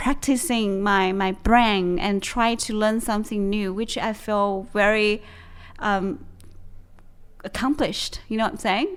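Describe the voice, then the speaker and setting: Fairly slow speech with a Chinese accent, ordinary pitch variation, and a very clean recording with a silent background. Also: woman. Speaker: podcast co-host. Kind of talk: casual chat. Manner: halting, with frequent fillers and restarts.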